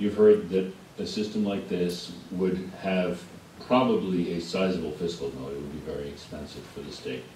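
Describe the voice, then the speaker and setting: Over noticeable background noise and audible room echo, a man with a very deep, low pitch speaks at a moderate pace, his pitch varying in an ordinary way and his loudness swinging widely. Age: 60s. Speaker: witness at public hearing. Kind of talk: testimony.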